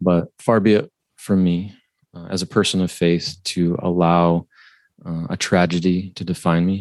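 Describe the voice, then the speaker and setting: In a Midwestern accent, a man talks at a very deep, low pitch with monotone, flat intonation, the sound dry and close with no echo and the background quiet. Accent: general Midwestern American. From Ohio, US Midwest. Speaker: financial planner, author. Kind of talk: interview conversation. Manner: halting, many fillers.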